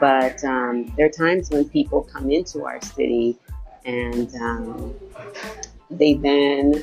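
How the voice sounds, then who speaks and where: A woman talks over music in the background. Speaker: podcast host. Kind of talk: casual interview conversation.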